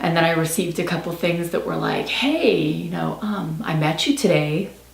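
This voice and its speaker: A woman at a fairly low pitch and moderate pace, with noticeable background noise. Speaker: book reviewer. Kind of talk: casual talk to camera. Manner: rambling, chatty.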